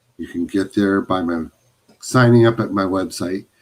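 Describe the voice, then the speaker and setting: A man is speaking. His intonation is lively. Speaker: photographer hosting a live stream. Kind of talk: casual live stream monologue. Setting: home office, live stream.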